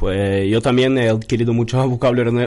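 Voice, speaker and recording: Here a man talks at medium pitch. His pace is moderate. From Norway. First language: Norwegian (speaking Spanish). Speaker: Erasmus student. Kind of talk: casual chat.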